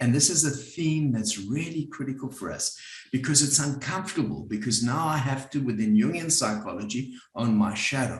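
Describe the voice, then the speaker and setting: A man with a South African accent, somewhat breathy, at a moderate pace, with audible room echo. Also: medium pitch for a man, ordinary pitch variation. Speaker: psychotherapist and group facilitator. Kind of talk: workshop talk. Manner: conversational.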